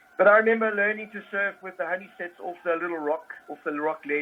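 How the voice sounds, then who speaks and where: The man's high voice moves at a fairly quick pace with lively intonation. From South Africa, Durban north coast. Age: 60s. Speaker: surf coach. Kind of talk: casual interview. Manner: relaxed.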